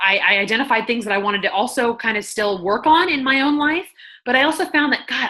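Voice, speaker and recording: Her tone bright and sharp, a woman speaks in an animated way with very wide pitch swings. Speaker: business coach. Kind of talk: group coaching call. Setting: group call. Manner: fast.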